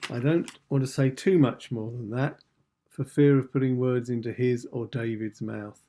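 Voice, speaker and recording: At a moderate pace, a man speaks with medium pitch, fairly even intonation and a dark, mellow tone. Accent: English. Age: 60s. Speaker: channel host. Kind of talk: scripted introduction. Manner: formal.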